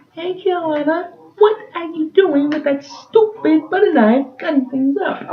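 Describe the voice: Putting on a character voice, a man speaks at a moderate pace with extremely high pitch.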